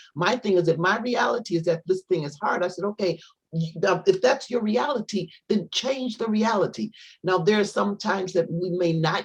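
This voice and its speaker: Somewhat breathy, a woman of medium pitch talks at a moderate pace with lively intonation. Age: 60s. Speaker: guest speaker. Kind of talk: inspirational panel talk. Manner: halting, many repetitions and restarts.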